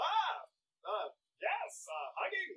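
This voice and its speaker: The voice is a put-on character. Its pitch is extremely high. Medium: actual play. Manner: formal, hesitant, fixated on vampirism.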